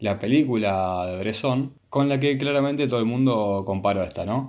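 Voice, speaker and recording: With a Rioplatense accent, a man speaks with ordinary pitch variation. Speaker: film podcast co-host. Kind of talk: casual chat. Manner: halting, with repetitions.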